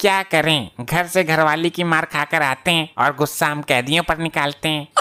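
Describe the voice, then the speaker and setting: A man's cartoonish character voice, fairly high in pitch, with fairly even intonation at a moderate pace. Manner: rustic, joking.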